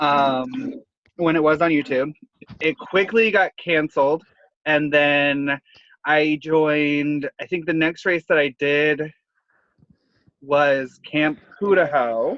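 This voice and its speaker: In an American accent, a man talks at a very slow pace with long, frequent pauses. His fairly high pitch comes through in a dry, close sound with no echo. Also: ordinary pitch variation. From Florida, US South. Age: 20s. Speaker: drag queen podcast co-host. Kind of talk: casual chat. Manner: loud laugh that spikes the mic.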